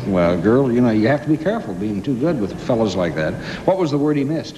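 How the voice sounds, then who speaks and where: A man with an American accent talks very fast at a medium pitch, his voice swinging very widely up and down. Audible room echo and noticeable background noise surround him. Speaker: game show host. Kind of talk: game show hosting.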